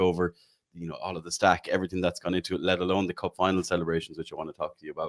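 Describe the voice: Speaking at a very fast pace, a man keeps a low pitch with little pitch movement.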